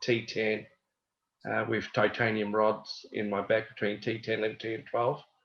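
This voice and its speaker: A man delivers his words in a monotone with flat intonation. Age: 60s. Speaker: paraplegic wheelchair athlete, panelist. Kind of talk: self-introduction on panel.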